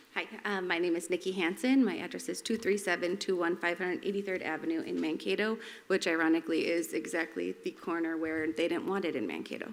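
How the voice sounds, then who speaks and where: Speaking very fast with hardly any pauses, a woman uses a fairly low pitch, vocal fry and ordinary pitch variation. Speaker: resident speaking at public comment. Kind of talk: public comment at council meeting. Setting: city council meeting.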